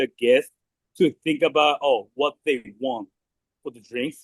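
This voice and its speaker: A man speaks with a Japanese accent. His intonation is lively. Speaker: restaurant manager. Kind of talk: staff meeting briefing. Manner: halting.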